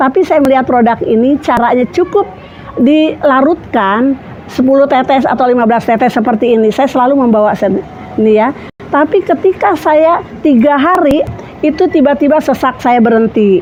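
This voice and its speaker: Amid noticeable background noise, a high-pitched woman speaks at a moderate pace with lively intonation and very even loudness. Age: 60s. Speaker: customer giving product testimonial. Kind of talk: testimonial.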